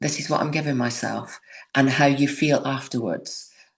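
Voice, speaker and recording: A woman speaking at a moderate pace. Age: 60s. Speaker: yoga instructor. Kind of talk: casual chat.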